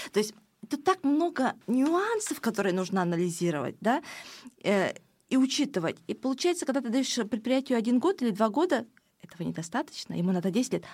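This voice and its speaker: Very wide pitch swings from a woman with a high pitch, at a fairly quick pace, on a very clean recording with a silent background. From Ukraine, village, moved to Estonia as child. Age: 40s. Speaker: fashion designer and politician. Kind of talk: interview.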